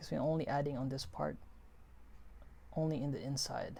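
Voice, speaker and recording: A woman speaks at a moderate pace amid audible room echo. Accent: non-native. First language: not English. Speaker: 3D design instructor. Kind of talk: tutorial. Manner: halting; casual.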